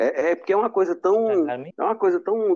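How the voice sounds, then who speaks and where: His tone is dark and mellow. The man's pitch moves in an ordinary way. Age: 20s. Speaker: podcast co-host. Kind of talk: casual chat.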